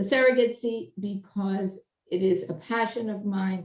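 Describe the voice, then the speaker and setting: A woman's medium-pitched voice with a New York accent, dark and mellow in tone, with fairly even intonation at a fairly slow pace. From Brooklyn, New York. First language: Italian. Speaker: judge and election candidate. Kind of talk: candidate speech at endorsement meeting.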